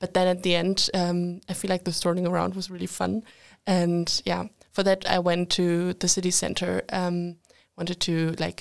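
A woman speaks with a German accent. Her fairly low voice stays monotone and flat. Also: moderate pace. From Germany. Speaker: international relations student. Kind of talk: casual chat.

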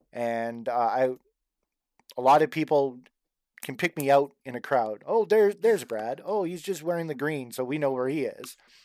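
On a very clean recording with a silent background, a man with a plain, everyday voice speaks at a fairly high pitch and a moderate pace, his intonation lively. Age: 40s. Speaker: cosplay fan group co-founder. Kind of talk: casual chat.

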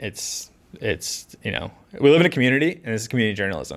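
Very fast and full of very wide pitch swings, a man's medium-pitched voice with vocal fry comes through on a very clean recording with a silent background. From Massachusetts South Shore (Scituate). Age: 30s. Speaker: local newspaper reporter. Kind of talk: casual chat.

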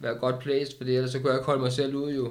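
There is audible room echo around a man talking at a moderate pace. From Denmark, Køge. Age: 30s. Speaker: recovered addict. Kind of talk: casual interview. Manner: halting.

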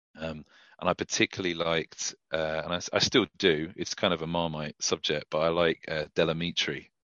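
At a fairly quick pace, a man speaks at a very deep, low pitch in a monotone, flat intonation. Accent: British. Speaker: country singer-songwriter. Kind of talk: casual interview chat.

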